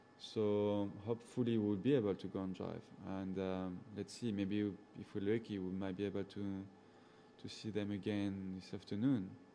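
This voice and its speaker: Speaking in a strong French accent, a man with a fairly low pitch talks at a moderate pace in a flat monotone. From Gabon, central Africa. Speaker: safari guide. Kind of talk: live chat with viewers. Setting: indoors at a computer, talking over PC. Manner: casual, hesitant with fillers.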